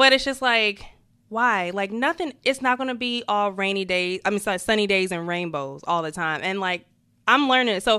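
With an American accent, a woman of medium pitch has a bright, sharp tone and lively intonation. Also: moderate pace, very clean recording, silent background. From New Jersey. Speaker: podcast co-host. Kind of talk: casual chat.

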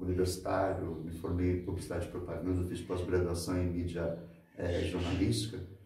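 The delivery comes at a moderate pace. There is audible room echo around the voice. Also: man. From Santos, São Paulo state, Brazil. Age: 50s. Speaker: local handyman and mentor. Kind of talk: interview conversation.

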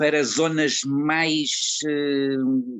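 A man is speaking here. His pitch sits fairly high. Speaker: actor and retired teacher. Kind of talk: interview. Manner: halting.

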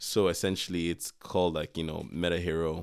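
Very deep and low, a man's voice with an American accent races at a very fast pace on a very clean recording with a silent background. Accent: near-American sounding English. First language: not English. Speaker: podcast co-host. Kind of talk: casual chat. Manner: animated.

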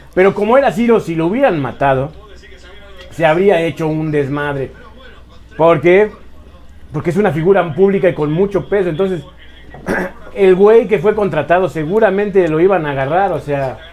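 With noticeable background noise, a high-pitched man speaks at a moderate pace with ordinary pitch variation and long, frequent pauses. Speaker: podcast co-host. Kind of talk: casual chat.

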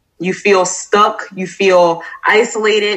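At a medium pitch, a woman speaks with an American accent. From Florida. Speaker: army veteran and social worker. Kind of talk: interview.

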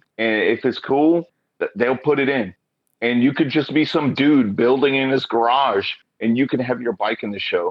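With an American accent, a man has an unremarkable speaking voice, medium in pitch, with ordinary pitch variation at a moderate pace. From Oklahoma. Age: 40s. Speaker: motorcyclist. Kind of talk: casual chat.

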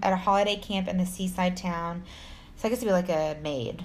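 With a Texan accent, a woman speaks at a fairly quick pace in a somewhat breathy, medium-pitched voice with ordinary pitch variation. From Texas. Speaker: podcast co-host, storyteller narrating true crime. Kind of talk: casual, profane. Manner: fast talker.

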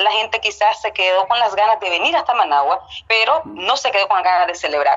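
This is a woman with a Nicaraguan accent. Her pitch varies in an ordinary way. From Nicaragua, Estelí. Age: 30s. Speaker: TV news editor. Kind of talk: interview.

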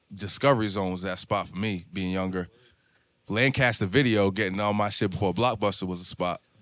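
A man with a fairly low pitch talks at a fairly quick pace with fairly even intonation in an ordinary speaking voice, on a very clean recording with a silent background. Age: 30s. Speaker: podcast host and barber. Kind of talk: casual chat. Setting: barbershop.

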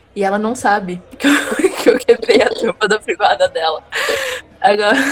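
A woman's fairly high-pitched voice amid noticeable background noise. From interior of São Paulo state, Brazil. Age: 20s. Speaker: nurse. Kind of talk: casual chat.

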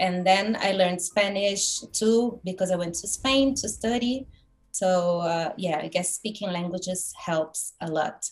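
At a fairly slow pace, a woman with a Brazilian accent speaks in a somewhat breathy voice at a medium pitch with ordinary pitch variation. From Brazil, Curitiba. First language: Portuguese. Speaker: graphic designer and lettering artist. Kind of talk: casual interview chat. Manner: halting, many fillers.

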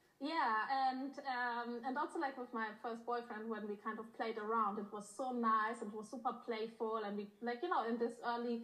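Speaking at a moderate pace with hardly any pauses, a woman keeps her intonation fairly even over noticeable background noise. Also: fairly high pitch for a woman. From Germany, born in Poland. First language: Polish or German. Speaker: intimacy coach. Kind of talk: casual interview.

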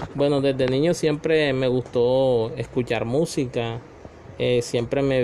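Monotone, flat intonation against noticeable background noise. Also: man. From Colombian Caribbean coast (Magangué, Bolívar). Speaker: parent being interviewed. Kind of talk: family interview. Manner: hesitant, many fillers.

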